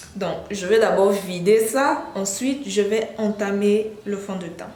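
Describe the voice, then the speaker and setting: A woman with a medium pitch talks very slowly amid noticeable background noise. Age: 20s. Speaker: beauty YouTuber. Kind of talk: makeup tutorial talk to camera.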